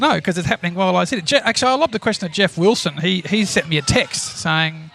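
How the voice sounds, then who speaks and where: Speaking very fast, a man with an Australian accent uses a high pitch and lively intonation. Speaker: podcast co-host, shareholder activist. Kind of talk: casual chat.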